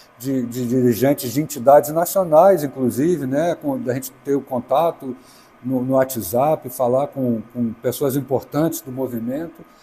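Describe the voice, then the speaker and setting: Over noticeable background noise, a man speaks fairly slowly in a fairly high voice. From Brazil, Brasília. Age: 60s. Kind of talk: interview. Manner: halting.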